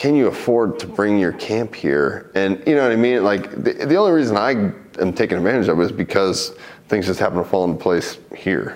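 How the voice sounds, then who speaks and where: A man's fairly low voice at a fairly quick pace, lively in intonation and very even in loudness, with hardly any pauses and noticeable background noise. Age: 30s. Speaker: MMA fighter. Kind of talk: interview.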